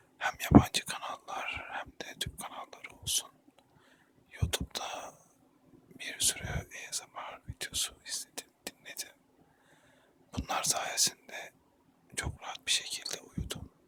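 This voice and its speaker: Whispering very slowly, a man leaves long, frequent pauses, and his loudness swings widely. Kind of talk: ASMR intro talk. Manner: whispered.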